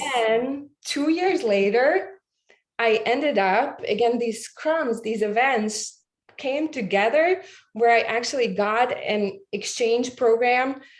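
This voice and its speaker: A woman's high-pitched voice in a Latvian accent, with lively intonation at a very slow pace. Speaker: podcast guest. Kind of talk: interview. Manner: halting.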